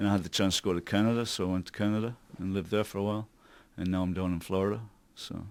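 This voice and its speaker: In a very clean recording with a silent background, a man speaks in a fairly low voice. His delivery is very fast and monotone, with flat intonation. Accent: American. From northeast England, Newcastle (Wallsend). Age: 50s. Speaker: tribute band singer. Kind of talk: radio interview.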